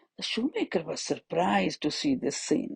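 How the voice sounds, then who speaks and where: A woman speaks in a dark, mellow, somewhat breathy voice. Her pitch swings very widely. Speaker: storyteller for children. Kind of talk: children's story narration.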